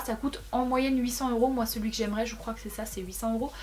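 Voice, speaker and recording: A somewhat breathy, fairly high woman's voice with fairly even intonation. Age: 20s. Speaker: YouTuber. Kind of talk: casual vlog. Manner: fast.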